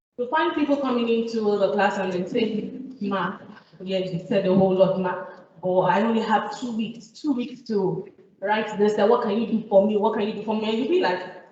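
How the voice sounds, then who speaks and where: A woman with a Nigerian accent and a fairly high pitch speaks shakily at a moderate pace with ordinary pitch variation, amid audible room echo and noticeable background noise. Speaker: IELTS teacher. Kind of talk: talk to an audience. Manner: shaky; hesitant, many fillers.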